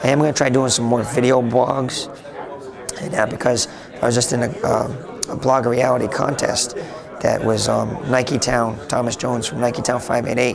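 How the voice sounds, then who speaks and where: Amid noticeable background noise and audible room echo, a man talks at a moderate pace at a medium pitch with fairly even intonation. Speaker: IT blogger. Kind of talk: interview. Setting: conference. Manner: halting.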